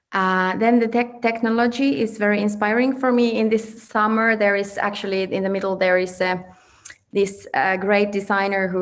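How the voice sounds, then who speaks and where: A woman of medium pitch speaks with fairly even intonation. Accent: Finnish. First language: Finnish. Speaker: fashion designer. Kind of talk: presentation. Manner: halting.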